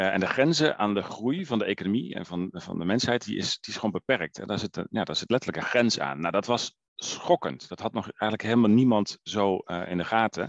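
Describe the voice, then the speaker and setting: A fairly low-pitched man talks at a fairly quick pace with lively intonation, the sound dry and close with no echo. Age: 40s. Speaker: environmental organisation director. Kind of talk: interview. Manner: hesitant, many filler sounds.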